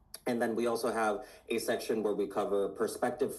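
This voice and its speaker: A man with a Puerto Rican accent. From Puerto Rico. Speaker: science magazine editor. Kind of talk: interview. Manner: halting, many fillers.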